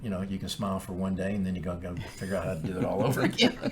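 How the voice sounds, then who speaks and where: A man with an American accent talks very fast in a very deep, low voice, his intonation fairly even. Noticeable background noise runs underneath. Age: 60s. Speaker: podcast co-host, title company president. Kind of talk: casual chat.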